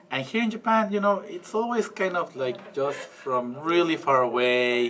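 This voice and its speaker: Over noticeable background noise, a high-pitched man with a Spanish accent talks at a moderate pace, his pitch swinging very widely. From Mexico. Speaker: interviewee, foreign resident. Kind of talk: interview answer.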